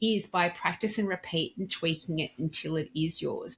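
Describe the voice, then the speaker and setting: At a moderate pace, a woman speaks with a somewhat breathy voice and ordinary pitch variation. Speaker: dental practice communication trainer. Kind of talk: interview.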